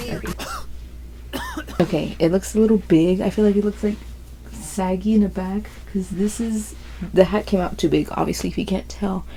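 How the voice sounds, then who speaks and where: A quiet woman at a moderate pace, with long, frequent pauses and noticeable background noise. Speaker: crochet vlogger. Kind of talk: casual chat. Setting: at home, bedroom. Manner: casual, slangy.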